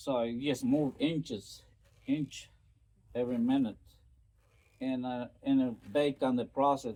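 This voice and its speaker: Speaking with a Spanish accent, a man talks at a medium pitch. He keeps a moderate pace. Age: 60s. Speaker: storyteller vlogger. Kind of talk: casual storytelling monologue. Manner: hesitant, many fillers.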